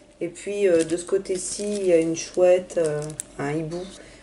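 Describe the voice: A woman speaks with a dark, mellow tone and fairly low pitch at a moderate pace. Her intonation is fairly even, and room echo can be heard.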